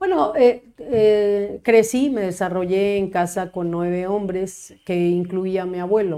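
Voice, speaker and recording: The tone is dark and mellow, with ordinary pitch variation. Delivery is very slow yet has hardly any pauses. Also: woman, medium pitch for a woman. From Mexico, Cuernavaca. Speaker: lawyer and public official. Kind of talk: casual interview.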